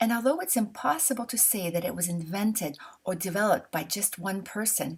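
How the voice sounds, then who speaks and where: A woman in a Canadian French accent speaks fairly quickly at medium pitch, somewhat breathy, with lively intonation. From Canada. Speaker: calligraphy instructor. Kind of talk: tutorial.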